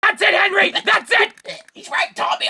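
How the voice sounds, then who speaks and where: An extremely high pitch marks this cartoonish character voice. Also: moderate pace. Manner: loud, excitable.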